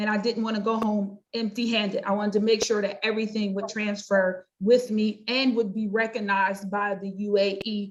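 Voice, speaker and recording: In an American accent, a woman speaks at a moderate pace in a fairly high, somewhat breathy voice. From US, North Carolina. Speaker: pastor and life coach. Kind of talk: interview.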